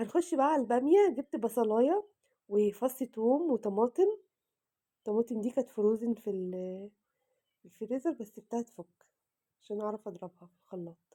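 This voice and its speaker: A woman has a dark, mellow tone at fairly high pitch, with ordinary pitch variation. She speaks at a moderate pace in a dry, close sound with no echo. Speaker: cooking vlogger. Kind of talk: cooking tutorial. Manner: casual, chatty.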